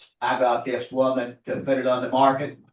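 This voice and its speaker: A man speaks in a normal speaking voice with an American accent. His pitch is medium and his pace moderate. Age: 60s. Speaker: estate executor, home builder. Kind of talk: public testimony at meeting. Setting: county commission meeting.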